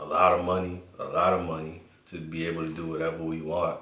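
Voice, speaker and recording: Against noticeable background noise and audible room echo, a man talks at a fairly slow pace. His voice is very deep and low, with a New York accent. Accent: New York (Bronx) English. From New York City (Bronx), Honduran family. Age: 20s. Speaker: co-host. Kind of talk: casual chat.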